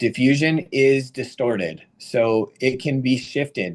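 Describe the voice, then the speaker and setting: Speaking in an unremarkable speaking voice, a man talks at medium pitch with ordinary pitch variation. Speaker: radiation oncologist, professor. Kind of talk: lecture. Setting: webinar. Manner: casual.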